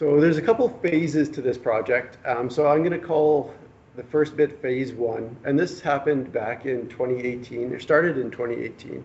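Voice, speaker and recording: Noticeable background noise sits under a man with a Canadian accent whose pitch is fairly high. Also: ordinary pitch variation, moderate pace. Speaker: government fisheries biologist. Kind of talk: presentation. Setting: public workshop with audience. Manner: soft-spoken; hesitant, many fillers.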